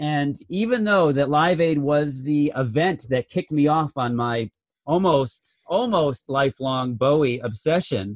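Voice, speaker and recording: A man with a plain, everyday voice talks at a fairly slow pace, his fairly high pitch rising and falling in a lively way. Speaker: film review podcast co-host. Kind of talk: casual chat.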